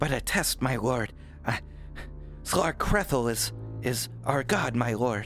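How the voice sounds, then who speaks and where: Clear music plays behind a put-on character voice that moves at a very slow pace with long, frequent pauses. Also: man. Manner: servile, reverent.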